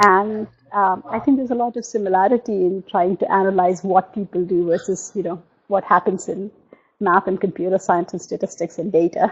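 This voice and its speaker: A woman with a Telugu accent at a medium pitch, a fairly quick pace and fairly even intonation. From India. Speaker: novelist. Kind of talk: interview. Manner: halting.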